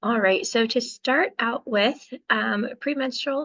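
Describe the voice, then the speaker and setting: Against a quiet background, a woman's voice moves with ordinary pitch variation. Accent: American. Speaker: physician. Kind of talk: lecture. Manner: halting, many fillers.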